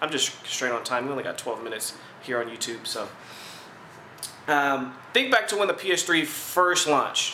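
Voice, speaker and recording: With audible room echo, a man speaks at a fairly quick pace, with lively intonation and fairly high pitch. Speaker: gaming video host. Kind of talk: casual commentary responding to viewer comments. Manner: fast.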